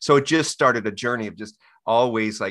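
In a very clean recording with a silent background, a normal speaking voice with an American accent moves at a fairly quick pace. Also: man. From Texas. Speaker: author and activist. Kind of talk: casual interview.

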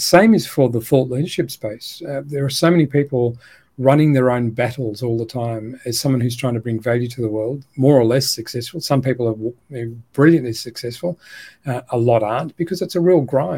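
A man with an Australian accent at medium pitch, somewhat breathy, with a dark, mellow tone and ordinary pitch variation, on a very clean recording with a silent background. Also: moderate pace. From Australia, Melbourne. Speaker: educator and education company co-founder. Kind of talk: interview conversation.

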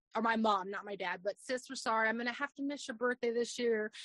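Using an unremarkable speaking voice, a woman with an American accent speaks at a fairly quick pace with a fairly high pitch and ordinary pitch variation, the sound dry and close with no echo. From Arizona. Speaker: social media video creator. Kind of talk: casual interview chat.

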